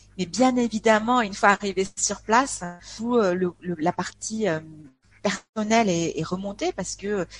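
A woman speaks at a medium pitch, somewhat breathy. The sound is dry and close, with no echo. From France, Aveyron (rural south-west). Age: 40s. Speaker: expat interviewee. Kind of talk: casual interview chat. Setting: online call, poor connection. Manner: cheerful; hesitant, many fillers.

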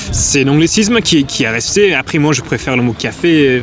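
Over noticeable background noise, the voice moves at a moderate pace. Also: man. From England. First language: English (speaking French). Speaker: coffee shop owner. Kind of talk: interview. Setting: wine fair.

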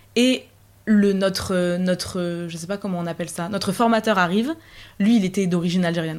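An ordinary speaking voice from a woman at medium pitch and a moderate pace, with fairly even intonation and big swings in loudness. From northern France, Picardy. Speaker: university student. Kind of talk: casual chat.

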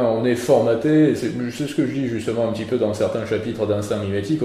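Noticeable background noise accompanies a male speaker. The room echo is audible too. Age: 20s. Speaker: philosopher and essayist. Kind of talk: interview.

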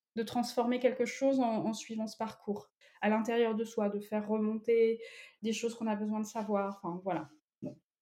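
A woman speaks at a fairly high pitch with a dark, mellow tone. Her intonation is monotone and flat, and her pace moderate. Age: 30s. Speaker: tarot reader. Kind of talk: interview.

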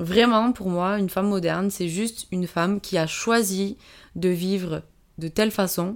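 Recorded very cleanly against a silent background, a woman speaks at a medium pitch and moderate pace with fairly even intonation. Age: 20s. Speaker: PE teacher and amateur rugby player. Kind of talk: interview. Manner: hesitant, many fillers.

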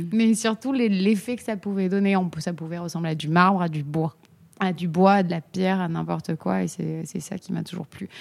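With an unremarkable speaking voice, a woman talks at a moderate pace, her fairly low pitch showing ordinary variation. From Corsica. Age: 30s. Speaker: ceramicist. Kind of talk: casual chat.

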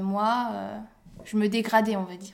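The pace is very slow. The intonation remains fairly even. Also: woman. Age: 20s. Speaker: mother sharing birth story, social and family economics counsellor. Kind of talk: testimony. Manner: hesitant, many fillers.

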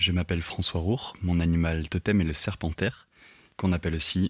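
A man with a very deep, low voice speaks at a moderate pace with fairly even intonation, in a very clean, dry, close recording with no echo and a silent background. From rural southern France. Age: 20s. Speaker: sound engineer. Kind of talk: recorded self-introduction.

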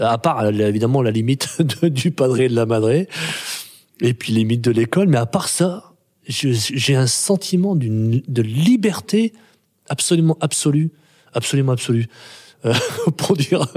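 The voice moves at a fairly slow pace with lively intonation. The sound is dry and close, with no echo. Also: man. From France, Grenoble. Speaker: playwright and theatre director. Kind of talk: interview. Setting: theatre workshop room. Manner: halting, many repetitions.

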